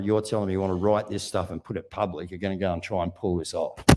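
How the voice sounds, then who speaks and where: An Australian-accented man talks at a very fast pace in an animated tone. The recording is very clean, with a silent background. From Australia, Wollongong. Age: 60s. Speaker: activist speaker. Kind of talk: speech to live audience.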